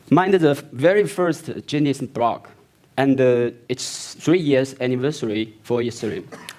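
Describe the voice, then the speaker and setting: At a fairly slow pace, a man with a non-native accent speaks at medium pitch with ordinary pitch variation. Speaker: company founder and CEO presenting. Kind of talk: product launch keynote presentation. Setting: stage with audience at launch event. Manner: halting.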